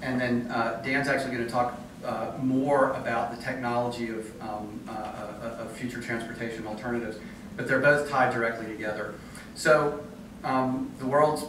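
Noticeable background noise and audible room echo fill the recording. A man talks with monotone, flat intonation. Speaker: conference presenter. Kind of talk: presentation talk. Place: hall.

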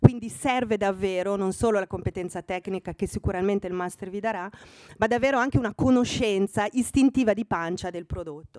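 A woman talks at a fairly quick pace with ordinary pitch variation. The sound is dry with no echo, and the background is quiet. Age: 60. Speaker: fashion magazine editor speaking to students; guest. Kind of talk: talk to master's students. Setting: room with student audience. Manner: hesitant with fillers. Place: hall. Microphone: podium.

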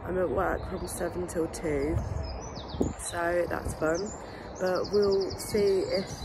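A very slow delivery full of long, frequent pauses, over noticeable background noise. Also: woman. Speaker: vlogger. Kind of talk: casual vlog chat. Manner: hoarse, strained voice, wincing. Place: street. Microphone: phone near.

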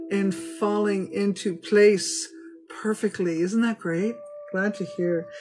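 Clear music plays in the background behind a voice with ordinary pitch variation. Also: woman. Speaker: tarot reader. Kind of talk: casual reading to viewers. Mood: warm, upbeat. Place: home room. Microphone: phone near.

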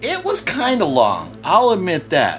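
There is faint music in the background while a man talks. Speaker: movie reviewer. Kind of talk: casual vlog chat. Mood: relaxed, amused. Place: home room. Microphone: phone near.

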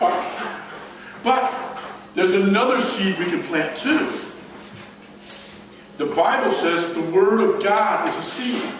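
Strong room echo and light background noise surround a man whose high-pitched voice has lively intonation. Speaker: evangelist and gospel magician. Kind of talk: children's ministry talk with magic demonstration. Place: hall. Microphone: camera far.

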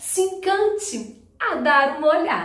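Against a quiet background with audible room echo, a woman talks very slowly with lively intonation. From Rio de Janeiro, Brazil. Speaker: teacher and storyteller; teacher, storyteller. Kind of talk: storytelling for children. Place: home room. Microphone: camera far.

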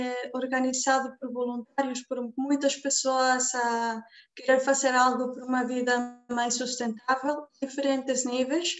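A woman's high voice at a fairly slow pace, monotone and flat. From Mexico. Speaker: event moderator. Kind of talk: online event moderation. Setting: video call. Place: home room. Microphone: video call.

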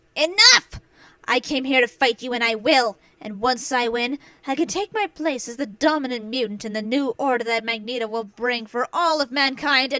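High-pitched and female-sounding, a put-on character voice delivered at a moderate pace. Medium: audio drama. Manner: commanding, aggressive.

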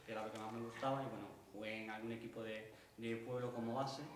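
Speaking at a fairly quick pace, a man uses a medium pitch. Noticeable background noise and audible room echo fill the recording. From Spain. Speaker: workshop participant. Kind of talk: personal testimony. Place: stage. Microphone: camera far.

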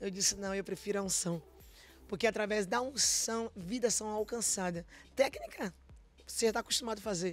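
Over faint music in the background, a woman speaks at a moderate pace with ordinary pitch variation and long, frequent pauses, the sound dry with no echo. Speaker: gospel singer; guest. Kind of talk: testimony. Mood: emotional, earnest testimony. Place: studio. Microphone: studio mic.

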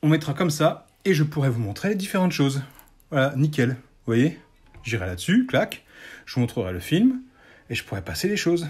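A somewhat breathy male voice with very wide pitch swings and long, frequent pauses. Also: fairly high pitch for a man, moderate pace. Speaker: YouTuber showing Lego builds; LEGO hobbyist youtuber. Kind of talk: casual tutorial. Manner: hesitant, with many fillers. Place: home room. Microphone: phone near.

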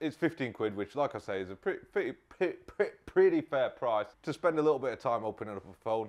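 A man speaks at a medium pitch and a fast pace. His tone is slightly mellow, with lively intonation.

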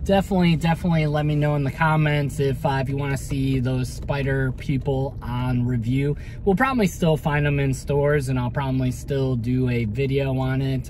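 The speaker talks at a fairly quick pace with hardly any pauses and fairly even intonation, in a dry sound with no echo over light background noise. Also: man. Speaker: toy collector vlogger. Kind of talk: casual vlog chat. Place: car. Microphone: phone near.

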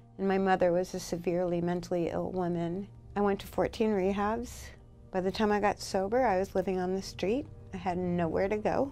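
Faint music plays behind a woman who talks at a fairly quick pace with very even loudness and fairly even intonation. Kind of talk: interview answer. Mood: earnest, personal story. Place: office.

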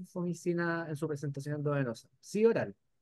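A man with a fairly high pitch and an unremarkable speaking voice. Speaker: webinar moderator, lab microbiologist. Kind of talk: webinar discussion.

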